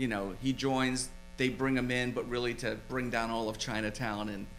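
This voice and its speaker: In an American accent, a man talks at a moderate pace with monotone, flat intonation and audible room echo. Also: medium pitch for a man. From Philadelphia, US. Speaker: screenwriter and film producer. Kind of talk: casual interview chat. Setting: studio.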